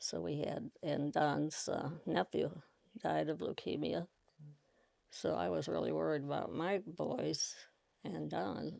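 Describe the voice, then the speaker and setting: A woman with an American accent talks at a very slow pace. Her pauses are long and frequent. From Iowa. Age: 90s. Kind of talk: interview answer.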